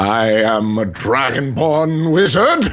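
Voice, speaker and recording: At a very slow pace and medium pitch, a man talks in a put-on character voice. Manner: put-on, exaggerated character voice.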